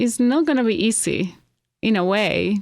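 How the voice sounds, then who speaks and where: A woman talks at a fairly slow pace. Her pitch sits fairly high. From Venezuela, Caracas. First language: Spanish. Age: 50s. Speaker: hair stylist, immigrant interviewee. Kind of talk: interview. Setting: studio.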